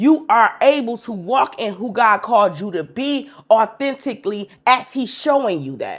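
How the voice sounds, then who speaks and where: Speaking at a fairly slow pace, a woman with a fairly high pitch shows vocal fry and very wide pitch swings. The recording is very clean with a silent background. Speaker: podcast host. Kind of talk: faith-based monologue. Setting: speaking to a camera at home. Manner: casual, conversational.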